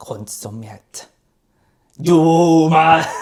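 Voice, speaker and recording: Someone does a raspy, put-on character voice at a middle pitch. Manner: dramatic.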